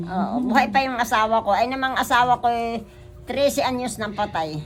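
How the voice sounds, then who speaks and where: Over music in the background, a woman with a fairly high pitch talks at a moderate pace with ordinary pitch variation. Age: 80s+. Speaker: street vendor. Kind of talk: interview answer.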